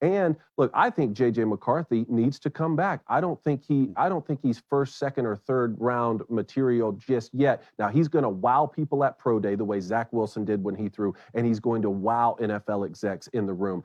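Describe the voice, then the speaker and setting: A man with an American accent and an unremarkable speaking voice, medium pitch, lively intonation, a moderate pace and hardly any pauses. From US South, South Georgia. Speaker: former college quarterback, sports radio host. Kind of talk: sports talk interview.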